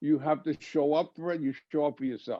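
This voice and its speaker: A man's voice with a dark, mellow tone. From New York City (Puerto Rican family). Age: 70s. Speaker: martial arts teacher. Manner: halting.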